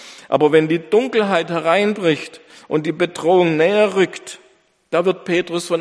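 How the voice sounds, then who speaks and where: Pitched high, a man speaks at a moderate pace in a warm, dramatic tone with ordinary pitch variation. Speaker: pastor. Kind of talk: sermon. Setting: church. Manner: earnest, emphatic preaching, building in dramatic rhetorical pauses; formal, warm pastoral tone addressing congregation.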